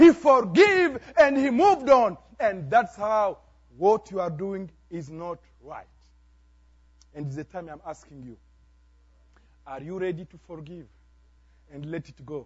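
In a Congolese accent, a man speaks fairly slowly at a high pitch, pausing long and often. His pitch swings very widely and his loudness rises and falls sharply. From DR Congo. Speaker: pastor. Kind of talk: sermon. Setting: church. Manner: animated.

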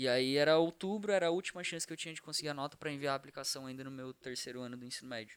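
Talking at a very fast pace with hardly any pauses, a man has a fairly high pitch and ordinary pitch variation. His loudness swings a lot. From Santa Catarina, Brazil (Criciúma). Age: young. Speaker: startup co-founder, university student. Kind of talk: casual chat.

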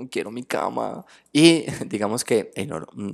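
A man's animated tone comes through on a very clean recording where the background is silent. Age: 20s. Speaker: tarot reader and spiritual therapist. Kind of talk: casual interview chat.

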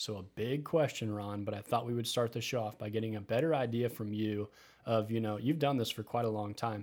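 With a Midwestern US accent, a man talks at a fairly quick pace in a medium pitch. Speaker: financial advisor and podcast host.

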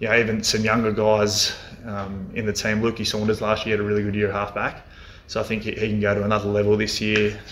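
With an Australian accent, the speaker talks at a fairly quick pace in a monotone, flat intonation. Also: man, fairly low pitch for a man. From rural Victoria, Australia. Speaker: football coach and former AFL player. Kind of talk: casual interview. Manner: hesitant, many fillers.

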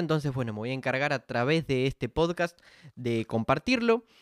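A man with a fairly high pitch speaks at a moderate pace with lively intonation. The recording is very clean with a silent background, and the sound is dry and close with no echo. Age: 20s. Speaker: podcast host. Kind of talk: solo podcast monologue. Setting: standing at home mic. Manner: hesitant, filler-heavy.

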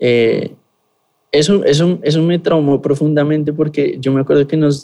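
A dark, mellow tone at a fairly slow pace with fairly even intonation. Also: man. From Colombia, Bogotá. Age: 20s. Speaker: pastor. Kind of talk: interview testimony and teaching.

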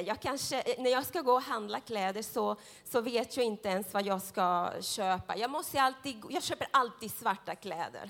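A woman with a fairly high pitch sounds animated, her pitch varying in an ordinary way. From Central America. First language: Spanish (speaking Swedish). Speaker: preacher. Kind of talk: sermon. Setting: church. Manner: consciously slow.

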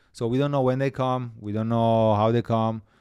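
This man's voice is fairly low in pitch, with a dark, mellow tone. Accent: Italian. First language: Italian. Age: 40s. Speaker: executive chef. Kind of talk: podcast interview. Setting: studio. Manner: hesitant, many filler uhs.

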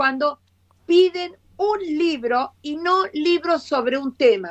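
The woman's intonation is lively. Her pitch is high. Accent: Rioplatense. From Argentina. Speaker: education professor. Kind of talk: live video interview.

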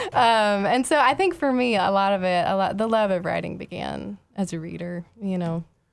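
An unremarkable speaking voice in an American accent, at a moderate pace with hardly any pauses. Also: woman, medium pitch for a woman, ordinary pitch variation. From Houston, Texas. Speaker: poet and pastor. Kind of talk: casual interview. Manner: laughs often.

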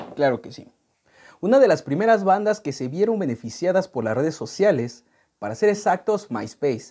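Talking at a moderate pace with a Mexican accent, a man uses a dark, mellow tone at a high pitch for a man, with very wide pitch swings and big swings in loudness. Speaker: music podcast host. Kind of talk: casual chat; reading aloud.

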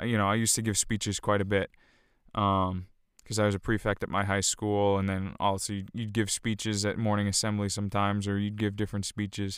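On a very clean recording with a silent background, a man speaks at a moderate pace in a fairly low pitch. His tone is clear and smooth, with monotone, flat intonation.

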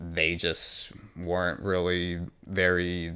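With an American accent, a man talks in a very deep, low register on a very clean recording with a silent background. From New York and New Jersey. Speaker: fitness trainer, gym owner. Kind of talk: casual interview.

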